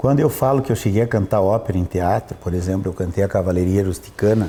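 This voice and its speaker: A man talks very fast in a fairly low, dark, mellow voice that is somewhat breathy, with very even loudness and ordinary pitch variation. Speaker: opera tenor. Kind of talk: interview conversation. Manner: animated.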